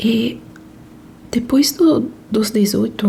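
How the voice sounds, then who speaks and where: A soft-spoken woman talks at a fairly high pitch. Noticeable background noise is present. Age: 30s. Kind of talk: casual talk to camera, relaxed chat. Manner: soft-spoken, slow.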